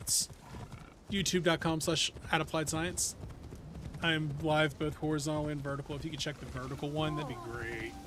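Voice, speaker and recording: Speaking at a moderate pace over noticeable background noise, a man holds a fairly high pitch and fairly even intonation. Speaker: video game streamer. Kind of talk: live stream chat. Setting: live stream.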